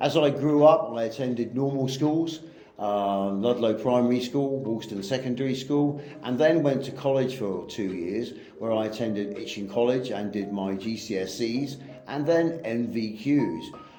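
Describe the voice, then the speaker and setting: Amid noticeable background noise and audible room echo, a man talks at a moderate pace with medium pitch and ordinary pitch variation. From southern England, Southampton. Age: 50s. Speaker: English teacher. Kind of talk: personal monologue.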